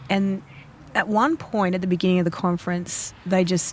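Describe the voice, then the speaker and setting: A woman with an Australian accent and a fairly low pitch, over noticeable background noise. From Australia, Fijian-Australian heritage. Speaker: podcast host and artist. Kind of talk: casual chat.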